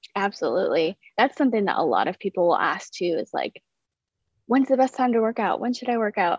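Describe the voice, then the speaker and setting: A woman talks in an ordinary speaking voice, fairly high-pitched with lively intonation. Her pace is fairly quick. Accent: American. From US Midwest (South Dakota). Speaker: fitness and nutrition coach. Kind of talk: interview. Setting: video call.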